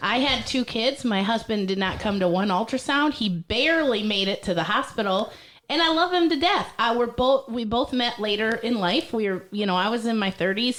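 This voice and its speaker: In a plain, everyday voice, a woman speaks at a fairly quick pace with a fairly high pitch and an American accent. Her loudness stays very even, and her pitch variation is ordinary. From Michigan (Millington, small farm town). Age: 30s. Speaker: stand-up comedian. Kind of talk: casual chat.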